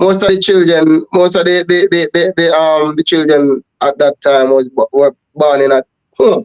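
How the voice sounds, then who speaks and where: With a Jamaican accent, a man with a fairly high pitch speaks at a moderate pace, his loudness very even and his intonation fairly even, in a dry, close sound with no echo. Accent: Jamaican English with patois. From Jamaica, Trelawny. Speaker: reggae singer. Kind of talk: interview.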